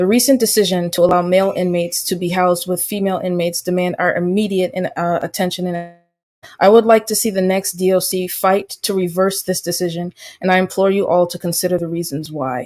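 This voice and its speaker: Very fast and fairly even in intonation, a woman's speech races along. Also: medium pitch for a woman. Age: 20s. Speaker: public commenter at a hearing. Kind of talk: prepared public testimony. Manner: formal; halting.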